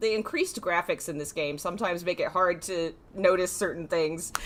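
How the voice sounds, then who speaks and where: Very fast speech with an American accent over noticeable background noise. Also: woman. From US South, North Carolina. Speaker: gaming streamer. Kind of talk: live stream gameplay commentary with chat. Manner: casual, chatty.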